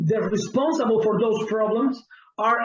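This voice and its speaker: A man speaks with a Spanish accent. His pitch is high. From Cuba. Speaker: pastor. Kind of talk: interview.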